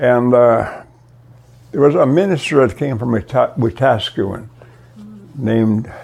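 Noticeable background noise sits behind a man speaking at a fairly slow pace with ordinary pitch variation. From Canada, Alberta, Cree reserve. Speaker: retired minister. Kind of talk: interview testimony. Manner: halting.

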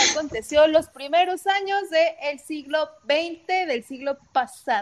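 Speaking with a Mexican accent, a woman uses a high pitch. Her pace is fairly slow. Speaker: podcast host. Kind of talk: casual chat.

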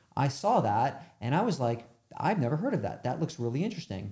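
A man's very fast, somewhat breathy delivery in a dark, mellow tone, with lively intonation and an American accent. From New York. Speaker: media agency founder. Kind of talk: interview.

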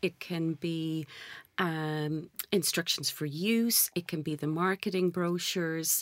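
A woman with an Irish accent, fairly low in pitch, with fairly even intonation. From Ireland. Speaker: sales director. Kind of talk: interview. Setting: studio.

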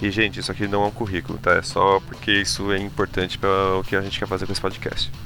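At a fairly quick pace the speech runs on with music behind it. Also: man. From Brazil, São Paulo. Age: 20s. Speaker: podcast host, finance professional. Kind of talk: casual podcast chat.

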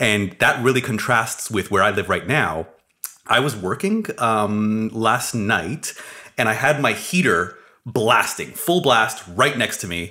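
A man with a Canadian accent, a normal speaking voice, medium pitch, lively intonation and a fairly slow pace. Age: 30s. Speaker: building science podcast co-host. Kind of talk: casual chat. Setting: studio.

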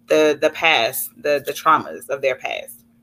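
Speaking at a very slow pace, this voice has a bright, sharp tone and an American accent. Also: woman. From Dallas, Texas. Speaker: actress and business owner. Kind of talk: interview.

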